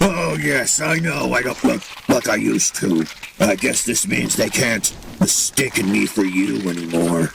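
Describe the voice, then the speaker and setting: Over clear background noise, a man puts on a character voice at a very deep, low pitch and a moderate pace. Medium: audio drama. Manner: mocking, gloating.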